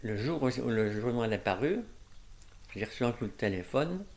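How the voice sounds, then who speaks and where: A man at a medium pitch, with ordinary pitch variation, speaks with long, frequent pauses. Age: 80s+. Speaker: painter and amateur mycologist. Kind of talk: interview answer.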